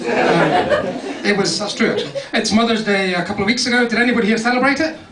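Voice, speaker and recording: Through noticeable background noise and an audible room echo, a man with a high pitch talks at a fairly quick pace. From Scotland, Dundee. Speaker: comedian. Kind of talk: stand-up. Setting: stage with audience, comedy club. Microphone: poor sound, recorded on a small pocket camera.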